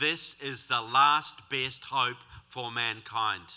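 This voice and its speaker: A man with a New Zealand accent speaks in a bright, sharp tone with ordinary pitch variation. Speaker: author and political speaker. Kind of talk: speech. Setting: stage with audience. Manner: animated.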